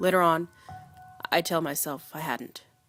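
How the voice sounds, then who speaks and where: Background music under a monotone, flat intonation. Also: woman. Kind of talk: read story. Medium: read story.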